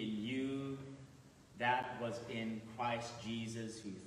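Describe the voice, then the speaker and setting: A man talks in a monotone, flat intonation, with audible room echo and light background noise. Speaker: clergy reader. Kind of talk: scripture reading. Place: church.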